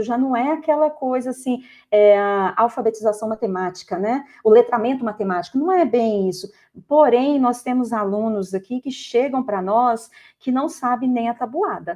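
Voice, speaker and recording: Against a quiet background, ordinary pitch variation marks speech at a moderate pace. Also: woman. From Goiás, Brazil. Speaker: math teacher. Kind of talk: podcast interview. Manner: halting with false starts.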